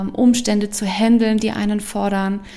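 A woman speaks with a fairly high pitch. There is noticeable background noise behind her. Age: 30s. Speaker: podcast host and coach. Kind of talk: personal testimony monologue. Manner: animated.

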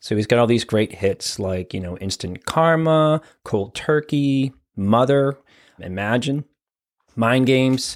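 With an American accent and a normal speaking voice, a man talks at a medium pitch and a fairly slow pace with lively intonation, on a very clean recording with a silent background. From Boston area, Massachusetts. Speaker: therapist and podcast host. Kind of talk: solo podcast monologue.

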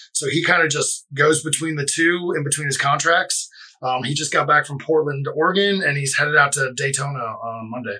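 Talking at a fairly quick pace, a man with an American accent and a normal speaking voice has a fairly high pitch and ordinary pitch variation. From Florida (Boca Raton). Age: 30s. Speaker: brewery co-owner. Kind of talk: casual interview. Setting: studio.

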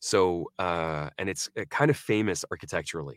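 A man with an American accent and a very deep, low pitch, in a dry, close recording with no echo and a silent background. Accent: American living in UK, non-British. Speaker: actor. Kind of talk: casual interview. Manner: halting, fillers.

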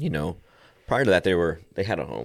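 Vocal fry runs through a man's voice on a very clean recording with a silent background. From Texas, Lubbock area. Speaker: homeless ministry director. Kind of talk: casual interview.

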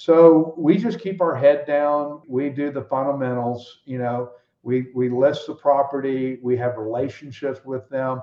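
A man with an American accent has a normal speaking voice, fairly high in pitch, with ordinary pitch variation. He talks at a fairly slow pace with hardly any pauses. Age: 60s. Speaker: ranch real estate broker. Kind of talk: casual interview conversation.

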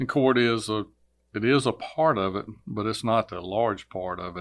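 Speaking with a Virginia accent, a man keeps a medium pitch and a moderate pace. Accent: Southern US (Virginia). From Virginia, US South. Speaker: court clerk, former state trooper. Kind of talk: interview.

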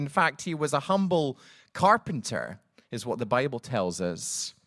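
A man with a Scottish accent at a moderate pace. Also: very clean recording, silent background. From Scotland. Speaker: pastor. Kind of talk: sermon. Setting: church.

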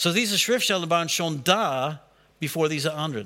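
With a non-native accent, this man speaks in a bright, sharp tone at a high pitch. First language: not German (speaking German). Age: 60s. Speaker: pastor. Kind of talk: sermon. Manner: halting.

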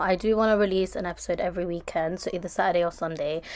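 In a London accent, a woman talks at a medium pitch with ordinary pitch variation. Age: 20s. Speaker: podcast host. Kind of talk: casual monologue. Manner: chatty, rambling fast.

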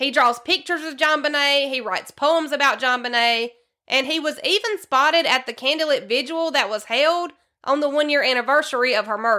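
In a Southern US accent, a woman talks at a moderate pace, her high voice bright and sharp. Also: ordinary pitch variation.

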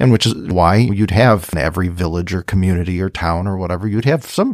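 A man's very deep, low voice at a moderate pace, in a very clean recording with a silent background. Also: dry, close sound with no echo. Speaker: pastor. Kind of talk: casual religious discussion. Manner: halting, frequent repetitions and fillers.

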